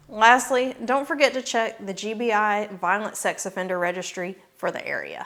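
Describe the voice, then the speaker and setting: On a very clean recording with a silent background, a woman speaks in a Southern US accent at a fairly high pitch. She keeps a moderate pace with hardly any pauses and ordinary pitch variation. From US South, northwest Georgia. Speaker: realtor. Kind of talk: scripted informational video.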